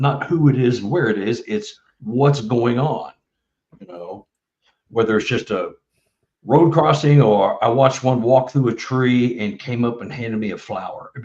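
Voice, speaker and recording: A man with a Texan accent, medium pitch, a somewhat breathy voice, ordinary pitch variation and big swings in loudness. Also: moderate pace. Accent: Texan American. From Texas, Dallas. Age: 70s. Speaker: author and bigfoot researcher. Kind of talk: casual interview chat. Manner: halting, many fillers.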